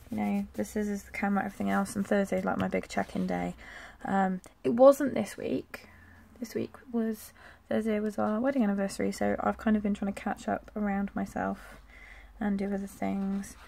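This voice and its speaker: Mumbling at a moderate pace, a woman talks with an English accent. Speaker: planner vlogger. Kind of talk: casual plan-with-me tutorial. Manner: chatty.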